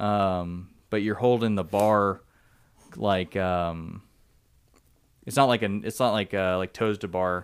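Speaking in an American accent, a man's fairly low voice moves at a very slow pace with long, frequent pauses. His intonation is fairly even, and the recording is very clean with a silent background. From Southern California (San Diego). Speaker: army soldier and CrossFit athlete. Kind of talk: casual chat.

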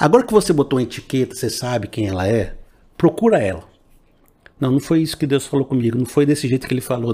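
Speaking at a very fast pace, a man has a medium pitch and a dark, mellow tone. His voice is somewhat breathy, with lively intonation. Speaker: pastor. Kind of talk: preacher exhortation, sermon-style appeal with call to receive the word. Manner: earnest, persuasive, rising fervor; direct, addresses listener personally.

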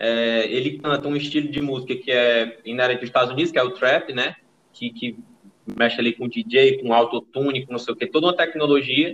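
At a fairly quick pace, a man talks in an ordinary speaking voice at medium pitch with ordinary pitch variation. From Brazilian Northeast. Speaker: podcast host. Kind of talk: casual chat.

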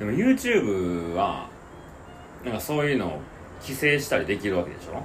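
In a Kansai accent, the speaker goes at a moderate pace with very wide pitch swings and long, frequent pauses, amid noticeable background noise and audible room echo. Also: man, fairly low pitch for a man. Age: 30s. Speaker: podcast co-host. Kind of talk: casual chat.

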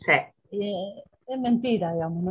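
A woman talks at a moderate pace. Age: 50s. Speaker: football coach and sports journalist. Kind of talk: interview. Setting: radio studio.

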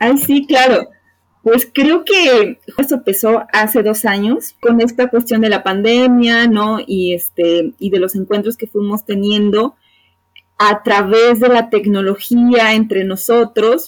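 Very slow delivery from a woman whose voice sits fairly high, with normal pitch movement. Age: 30s. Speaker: psychologist and podcast co-host. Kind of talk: casual chat.

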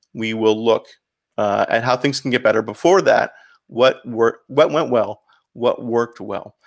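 At a fairly slow pace, a man with a Canadian accent and an ordinary speaking voice talks at a medium pitch on a very clean recording with a silent background. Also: ordinary pitch variation. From Canada, St. Catharines, Ontario. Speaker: pastor. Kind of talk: interview.

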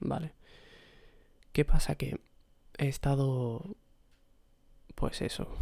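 Here a man talks at a very slow pace with ordinary pitch variation. His tone is dark and mellow. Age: 20s. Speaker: podcaster. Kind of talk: solo personal monologue. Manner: hesitant, repetitive.

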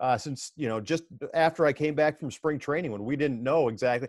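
A man in a plain, everyday voice talks at a fairly quick pace, his pitch fairly high and his intonation lively. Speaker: minor league baseball broadcaster. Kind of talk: podcast interview. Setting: video call.

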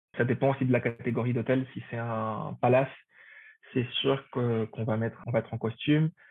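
The man's pitch sits at a medium level. His pace is fairly slow. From Paraguay. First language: Spanish (speaking French). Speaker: hotel front office manager. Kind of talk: interview.

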